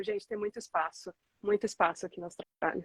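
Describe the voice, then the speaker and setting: Here a woman with an ordinary speaking voice talks at a moderate pace with a fairly high pitch and fairly even intonation, in a dry, close sound with no echo. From Brazil. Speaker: entrepreneur. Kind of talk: interview.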